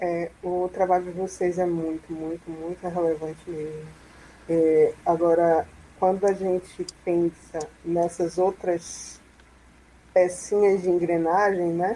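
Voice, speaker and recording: A woman speaks very slowly with long, frequent pauses. Her fairly low voice keeps a monotone, flat intonation. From Salvador, Bahia, Brazil. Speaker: free software user and advocate. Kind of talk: online panel discussion.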